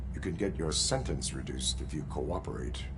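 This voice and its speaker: Amid loud background noise, a man uses a put-on character voice at a fairly quick pace. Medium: game stream. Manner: flat, clipped, robotic.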